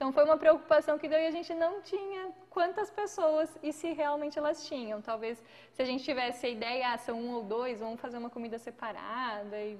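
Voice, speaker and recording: Against noticeable background noise, a woman talks at a fairly quick pace with hardly any pauses, her high-pitched voice showing lively intonation and big swings in loudness. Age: 30s. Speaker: podcast co-host. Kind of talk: casual chat. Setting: live stream.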